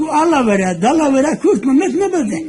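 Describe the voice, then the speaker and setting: This man's voice sits extremely high and swings very widely in pitch. There is noticeable background noise. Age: 80s+. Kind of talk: casual conversation filmed at home.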